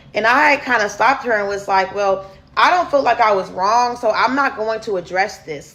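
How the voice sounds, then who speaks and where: Noticeable background noise surrounds the speaker. She is a woman whose pitch varies in an ordinary way. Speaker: storyteller vlogger. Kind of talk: storytime monologue. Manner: casual, conversational with fillers.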